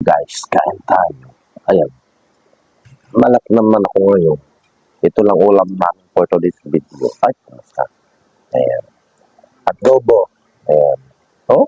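A man talks at a very slow pace, stopping often for long pauses. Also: very even loudness, dry, close sound with no echo. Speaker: food vlogger. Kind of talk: mukbang vlog. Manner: mouth full while talking.

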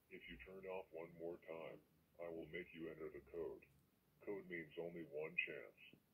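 Light background noise sits behind a man at a moderate pace. He puts on a character voice.

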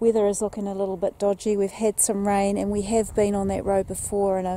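A woman speaks at a moderate pace in a monotone, flat voice. The sound is dry with no echo, over light background noise. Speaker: travel vlogger. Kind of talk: casual vlog chat. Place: waterside. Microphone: phone near.

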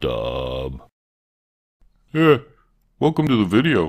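A man speaks in a put-on character voice. His pace is fairly slow. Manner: laid-back, punning.

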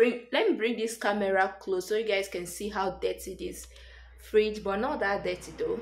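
Delivered at a moderate pace, the speech has fairly even intonation and audible room echo. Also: woman, medium pitch for a woman.

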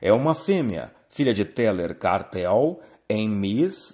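A man's voice swings very widely in pitch on a very clean recording with a silent background. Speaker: auction announcer. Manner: formal.

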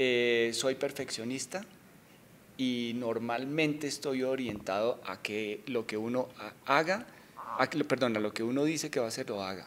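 A man talks at a fairly slow pace in a medium pitch, with ordinary pitch variation. Long, frequent pauses break up his speech over light background noise. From Colombia, Bogotá. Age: 40s. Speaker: bank executive; interviewee. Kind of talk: interview. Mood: relaxed, friendly. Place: office. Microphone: handheld.

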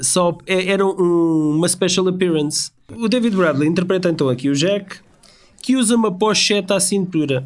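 Speaking at a very even loudness, a man has a high-pitched voice. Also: ordinary pitch variation, moderate pace. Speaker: podcast co-host. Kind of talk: casual chat.

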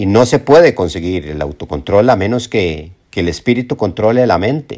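A man's fairly low voice with lively intonation at a moderate pace, on a very clean recording with a silent background. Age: 60s. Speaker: self-help video presenter. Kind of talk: motivational monologue. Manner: halting, with frequent repetitions.

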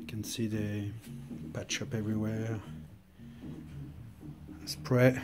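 Loud background noise fills this clip. A man speaks very slowly in a Swiss French accent. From French-speaking Switzerland. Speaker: motorcycle restorer. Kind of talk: casual talk to camera. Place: garage. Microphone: phone near.

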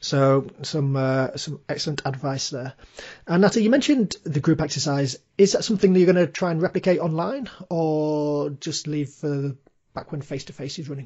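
The man's voice is somewhat breathy and fairly high in pitch. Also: ordinary pitch variation, moderate pace. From Birmingham, England. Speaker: podcast host, career coach. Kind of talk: scripted promo; interview.

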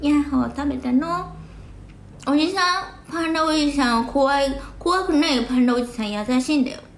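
Audible room echo surrounds a woman speaking. Her voice is high-pitched, with an animated tone. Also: ordinary pitch variation, moderate pace. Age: 40s. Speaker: live streamer. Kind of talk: casual livestream chat with viewers. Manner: animated, frequent laughter. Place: home room. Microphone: phone near.

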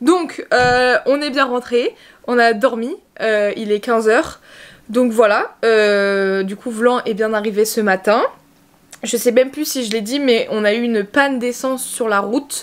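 Someone speaks at a fairly slow pace with ordinary pitch variation and long, frequent pauses. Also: woman, high pitch for a woman. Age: 20s. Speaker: pony vlogger. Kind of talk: travel vlog. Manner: casual, hesitant with many fillers.

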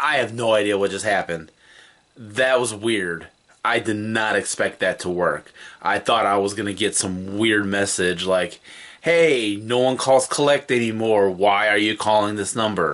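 A man speaks at a moderate pace with a fairly low pitch. His pitch varies in an ordinary way. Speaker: video host. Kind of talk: casual vlog chat. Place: home room.

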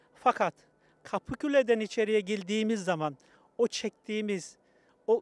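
Speaking at a moderate pace, a man has a high pitch and a dry sound with no echo. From Kayseri, Turkey; Turkey. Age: 60s. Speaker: Turkish immigrant worker; interviewee. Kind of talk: street interview. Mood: warm, nostalgic, smiling. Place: open country. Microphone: handheld.

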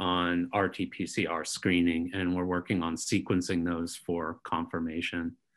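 Over a quiet background, a man with a very deep, low pitch and a bright, sharp tone speaks at a fairly slow pace. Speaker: clinical virologist. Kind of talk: technical briefing. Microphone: webcam.

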